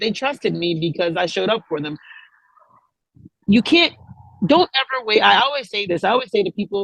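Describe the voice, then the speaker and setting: A loud woman's voice at medium pitch, with very wide pitch swings, long and frequent pauses, and a dry, close sound with no echo. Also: fairly quick pace. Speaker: music industry manager and CEO. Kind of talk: interview. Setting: video call.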